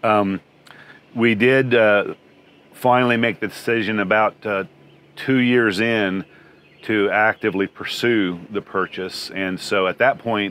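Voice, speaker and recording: A man with fairly low pitch speaks at a fairly slow pace in a monotone, flat intonation, the sound dry with no echo. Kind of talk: interview answer. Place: open country. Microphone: lapel.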